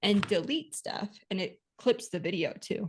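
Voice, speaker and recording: The woman's pitch sits in the middle of her range. She speaks at a fairly slow pace. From Texas. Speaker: podcast co-host, bookkeeping business coach. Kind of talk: casual podcast chat.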